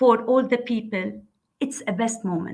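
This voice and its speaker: An unremarkable speaking voice from a woman, pitched fairly high with ordinary pitch variation. She keeps a moderate pace. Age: 60s. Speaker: civil engineer. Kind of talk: panel discussion.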